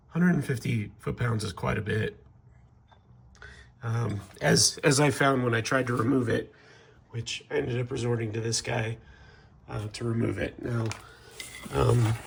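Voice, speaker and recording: A man's medium-pitched voice with vocal fry and ordinary pitch variation, at a moderate pace with long, frequent pauses. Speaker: DIY car repair youtuber. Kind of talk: tutorial. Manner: halting, many fillers; casual.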